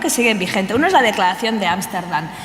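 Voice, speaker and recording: Over noticeable background noise and audible room echo, a woman speaks with lively intonation. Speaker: researcher. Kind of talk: conference talk. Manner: fast; hesitant, many fillers.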